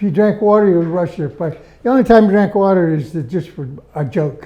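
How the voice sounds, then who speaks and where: A man's high voice in a Pittsburgh accent, very fast and full of lively intonation. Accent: Western Pennsylvania (Pittsburgh). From Pittsburgh area, Pennsylvania (Verona). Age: 90s. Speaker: World War II veteran. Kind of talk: interview.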